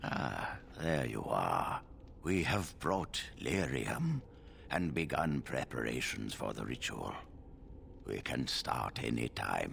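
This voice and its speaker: A man uses a put-on character voice, very deep and low. He goes at a fairly slow pace over clear background noise. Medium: video game. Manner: measured, authoritative.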